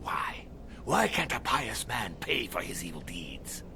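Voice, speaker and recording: Over loud background noise, a man performs a put-on character voice at a fairly slow pace. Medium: video game. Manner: defensive, anxious.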